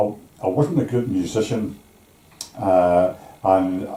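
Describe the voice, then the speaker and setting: Here a man speaks with a Belfast accent. His pace is very slow. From Northern Ireland, East Belfast. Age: 80s+. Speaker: retired shipyard worker. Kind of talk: life story interview. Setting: at home over tea. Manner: halting.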